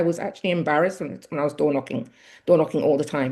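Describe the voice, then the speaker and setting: In a Mancunian accent, a woman speaks with a dark, mellow tone and ordinary pitch variation. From Manchester, England. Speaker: local politician. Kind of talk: interview. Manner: halting.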